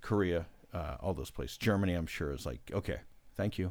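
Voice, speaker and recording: The man's intonation is lively. His voice carries vocal fry. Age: 40s. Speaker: podcast guest. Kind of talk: casual chat.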